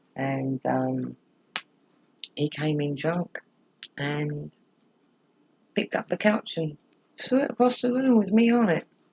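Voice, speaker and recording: A woman speaks at a fairly slow pace. Her delivery has long, frequent pauses. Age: 60s. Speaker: vlogger sharing personal experience. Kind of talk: personal testimony. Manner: hesitant, many fillers.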